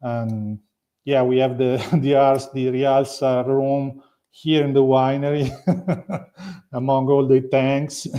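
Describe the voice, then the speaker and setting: With an Italian accent, a man speaks at a very slow pace and medium pitch in a monotone, flat intonation. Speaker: winery owner. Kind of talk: interview. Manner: halting.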